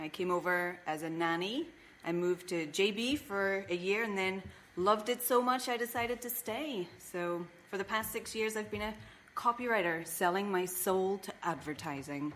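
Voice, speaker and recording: A woman with an Irish accent, medium pitch, lively intonation and a moderate pace. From Ireland. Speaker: comedian. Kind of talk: casual chat.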